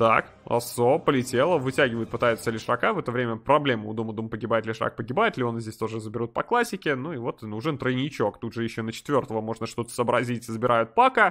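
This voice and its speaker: Animated in tone, a man at medium pitch talks at a very fast pace with ordinary pitch variation and hardly any pauses. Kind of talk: esports match commentary. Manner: fast, animated play-by-play, reacting excitedly to fights; casual, conversational, with sarcastic asides.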